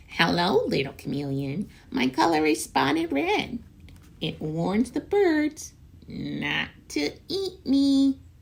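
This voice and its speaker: Someone puts on a character voice, pitched in the middle and delivered very slowly. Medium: read story.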